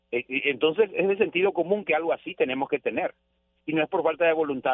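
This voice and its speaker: This is a man speaking. He talks very fast. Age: 40s. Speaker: radio journalist. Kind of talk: radio interview.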